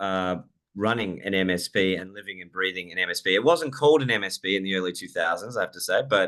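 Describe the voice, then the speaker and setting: Here a man talks at a fairly quick pace. He has an Australian accent. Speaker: software company CEO and IT business owner. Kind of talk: casual chat; product demo presentation.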